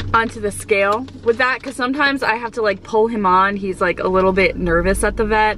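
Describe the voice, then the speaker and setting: A woman speaks with ordinary pitch variation. The sound is dry with no echo, with light background noise. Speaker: pet vlogger. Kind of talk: casual vlog chat. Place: car. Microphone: phone near.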